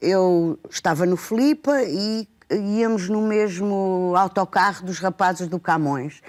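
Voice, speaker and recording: Speaking at a very slow pace with hardly any pauses, a woman uses a medium pitch with ordinary variation, in a very clean recording with a silent background and a dry, close sound with no echo. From Portugal, Lisbon. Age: 60s. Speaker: educator and book lover. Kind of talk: TV talk show conversation. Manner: halting, many fillers.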